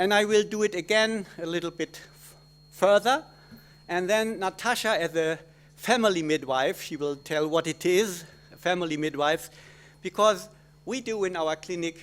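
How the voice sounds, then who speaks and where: With a German accent, a man speaks at a moderate pace in a high pitch, showing ordinary pitch variation and big swings in loudness. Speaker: gynecologist obstetrician. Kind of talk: conference talk. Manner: halting.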